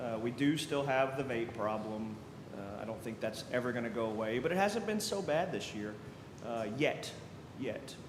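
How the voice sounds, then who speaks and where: With an American accent, a man speaks at medium pitch and a moderate pace, his intonation lively. Noticeable background noise and audible room echo fill the recording. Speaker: school district security officer. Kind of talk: committee meeting update. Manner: loud.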